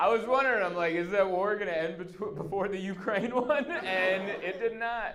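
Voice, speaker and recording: Speaking with hardly any pauses, a man with a high pitch comes through noticeable background noise and audible room echo. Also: ordinary pitch variation, moderate pace. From Southern California. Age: 30s. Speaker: stand-up comedian. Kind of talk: stand-up. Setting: stage with audience. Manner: animated.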